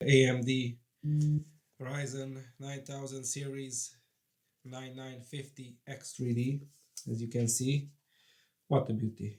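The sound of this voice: Speaking slowly with long, frequent pauses, a man keeps a medium pitch, little pitch movement and a slightly mellow tone.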